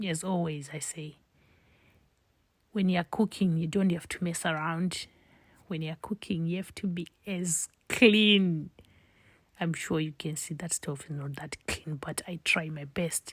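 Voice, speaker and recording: Someone with a Zimbabwean accent talks at a fairly slow pace with long, frequent pauses in a very clean recording with a silent background. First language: Shona. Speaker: home cook, cooking channel host. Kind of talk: cooking tutorial.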